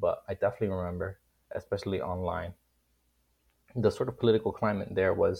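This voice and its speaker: Over a quiet background, a man with a Miami accent talks at a very fast pace, broken by long, frequent pauses. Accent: Miami American English. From Miami, Florida. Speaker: college student guest. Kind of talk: casual political discussion.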